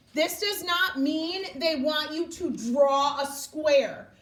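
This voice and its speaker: Over noticeable background noise and audible room echo, a woman's voice can be heard. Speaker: elementary school math teacher. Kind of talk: classroom instruction.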